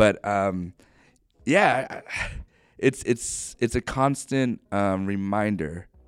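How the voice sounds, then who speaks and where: A man with an unremarkable speaking voice and an American accent, ordinary pitch variation, in a very clean recording with a silent background. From Ohio, US Midwest. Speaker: pastor. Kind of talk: interview.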